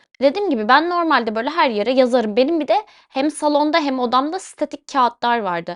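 Delivery is fairly quick with lively intonation and hardly any pauses. The sound is dry and close with no echo, over a quiet background. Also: woman, high pitch for a woman. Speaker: podcast host. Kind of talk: personal monologue. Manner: casual, chatty.

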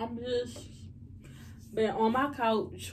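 Against light background noise, a woman speaks very slowly in a somewhat breathy voice. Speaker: vlogger. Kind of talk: casual vlog chat. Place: kitchen. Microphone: phone near.

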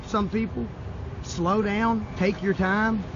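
Noticeable background noise, with a dry sound and no echo. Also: man. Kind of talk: casual informational vlog. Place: open country. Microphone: phone near.

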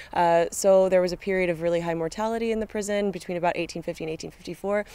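Fairly quick and with ordinary pitch variation, a woman speaks in a dry sound with no echo. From California, USA. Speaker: student archaeologist. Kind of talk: casual interview. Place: open country.

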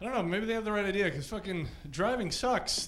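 Noticeable background noise surrounds a man with a raised, projected voice. He keeps a moderate pace. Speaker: stand-up comedian. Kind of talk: stand-up comedy routine. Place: stage. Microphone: handheld.

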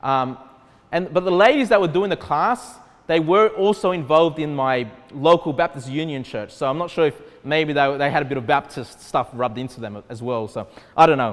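A man with an Australian accent speaks at a fairly high pitch. He goes at a fairly quick pace with lively intonation. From Australia, Sydney. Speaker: pastor. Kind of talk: sermon. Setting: church. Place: hall.

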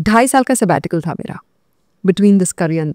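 A woman talks at a moderate pace. The sound is dry with no echo, and the background is quiet. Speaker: podcast guest. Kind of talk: interview answer. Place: studio. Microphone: studio mic.

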